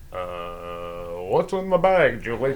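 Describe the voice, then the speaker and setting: In a put-on character voice, a man at medium pitch swings his pitch very widely over clear background noise. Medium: audio drama. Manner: brash showbiz patter.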